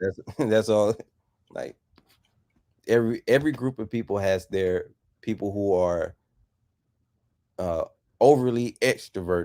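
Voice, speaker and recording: With an American accent, a man speaks at a fairly slow pace in a fairly low pitch, with a dark, mellow tone and long, frequent pauses. The sound is dry and close, with no echo. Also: ordinary pitch variation. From US South. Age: 30s. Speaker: YouTube auditor. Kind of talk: interview. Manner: clear, careful articulation.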